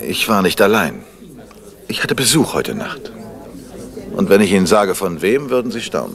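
Putting on a character voice, a man talks at a moderate pace with a low pitch, big pitch swings and vocal fry over faint background noise.

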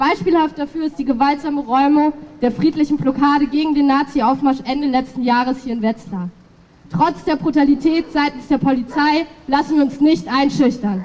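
A high-pitched woman's voice at a moderate pace with ordinary pitch variation. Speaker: speaker. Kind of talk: political rally speech. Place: street.

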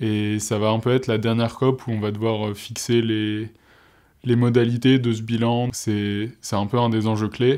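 The tone is dark and mellow, the intonation monotone and flat, delivered at a fairly slow pace against a quiet background. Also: man, medium pitch for a man. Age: 20s. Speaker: student and youth climate delegate. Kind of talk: interview. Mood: calm, explanatory. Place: studio. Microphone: lapel.

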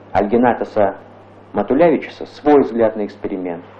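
A man is speaking here. His speed is medium. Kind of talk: 1985 Soviet newsreel narration. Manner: formal, measured, stately announcer delivery; even, authoritative, declarative tone. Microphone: old recording.

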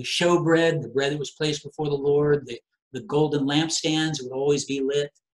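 A man's somewhat breathy voice at a moderate pace against a quiet background. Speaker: preacher. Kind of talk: sermon. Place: home room.

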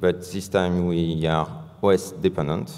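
A man with a French accent speaks at a very deep, low pitch. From France. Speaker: software engineer. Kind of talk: conference talk. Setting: stage with audience. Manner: halting. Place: hall.

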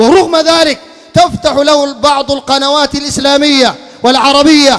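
A man delivers his words in a stern tone at a fairly slow pace, his pitch extremely high. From Sudan. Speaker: Islamic preacher. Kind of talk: sermon. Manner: stern, forceful. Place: home room. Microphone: handheld.

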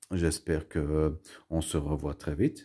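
Against a quiet background, a man speaks at a very slow pace with a very deep, low pitch, a dark, mellow tone and fairly even intonation. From Belgium, Brussels. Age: 40s. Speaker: YouTuber, collector; home vlogger. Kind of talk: casual vlog monologue; casual vlog chat. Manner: halting, many fillers and repetitions. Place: home room. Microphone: phone near.

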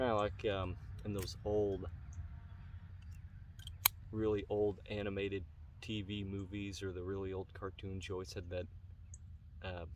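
Speaking low with little pitch movement, a man goes at a fairly slow pace with long, frequent pauses.

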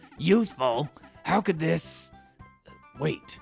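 Over faint background music, a man uses a put-on character voice and speaks at a fairly slow pace. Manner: imperious, hot-tempered.

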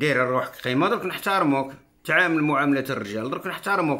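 With an Algerian accent, a man speaks at a medium pitch and a fairly quick pace. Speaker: political commentator. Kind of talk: political monologue. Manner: animated. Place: home room. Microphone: phone near.

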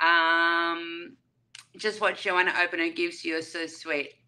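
A woman with an Australian accent speaks in a bright, sharp tone over light background noise. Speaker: YouTube livestreamer. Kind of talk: livestream chat with viewers. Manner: animated. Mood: warm, cheerful. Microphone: webcam.

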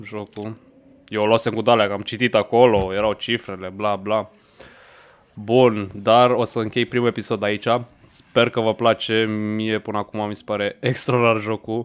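A man talks at a fairly slow pace. His fairly low voice stays monotone and flat. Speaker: gaming streamer. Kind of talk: gameplay commentary. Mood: relaxed, mildly amused. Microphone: studio mic.

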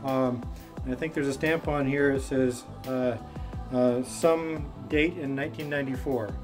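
Over clear background music, a man speaks with fairly even intonation. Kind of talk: casual vlog chat. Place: garage. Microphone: camera far.

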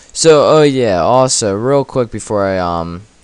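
Noticeable background noise runs under a man's voice. He speaks at a fairly slow pace with lively intonation. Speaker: RuneScape player and gaming YouTuber. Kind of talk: live gameplay commentary, casual, with an angry rant mid-fight. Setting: at computer, recording gameplay. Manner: casual, filler-heavy, informal teen-style talk.

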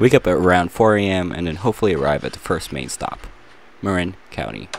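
Speaking at a very fast pace, a man with a very deep, low pitch sounds dry with no echo, with light background noise behind him. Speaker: vlogger narrating a road trip. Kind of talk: casual vlog narration.

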